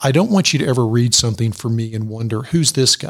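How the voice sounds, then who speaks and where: A man speaks at a medium pitch in a calm tone. His voice is somewhat breathy. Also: very clean recording, silent background. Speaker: executive coach and author. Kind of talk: radio interview. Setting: studio.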